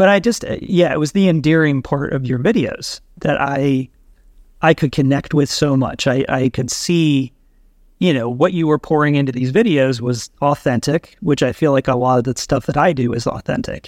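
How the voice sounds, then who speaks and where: Speaking with an American accent at a moderate pace, this is a plain, everyday voice with ordinary pitch variation. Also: man, fairly high pitch for a man. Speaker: YouTuber with spinal cord injury. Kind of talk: casual chat.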